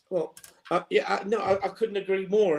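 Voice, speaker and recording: Here a man speaks with an English accent. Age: 60s. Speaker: football fan pundit. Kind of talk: casual chat. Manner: halting, many fillers.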